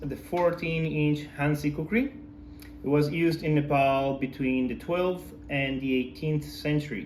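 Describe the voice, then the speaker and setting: A man with a non-native accent speaks very slowly in a fairly high pitch. There is audible room echo. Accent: foreign. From outside the US. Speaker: knife enthusiast. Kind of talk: product review. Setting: filmed by his wife. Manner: hesitant, many fillers.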